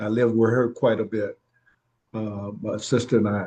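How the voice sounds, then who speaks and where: With a Virginia accent, a man talks at a fairly slow pace. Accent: Southern US (Virginia). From Virginia, Williamsburg area. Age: 70s. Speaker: family elder interviewed about his life. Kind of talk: oral history interview. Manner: halting, many fillers.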